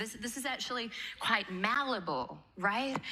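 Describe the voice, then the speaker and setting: A woman speaks in an animated tone with lively intonation, with audible room echo. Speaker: manifestation teacher. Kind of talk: seminar talk to live audience. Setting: stage with audience.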